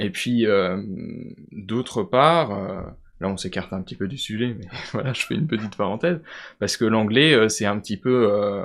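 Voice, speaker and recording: The recording is very clean, with a silent background. Speech moves at a moderate pace with ordinary pitch variation and long, frequent pauses. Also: man, fairly low pitch for a man. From France, Vosges. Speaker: student. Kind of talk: podcast interview. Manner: hesitant, many fillers.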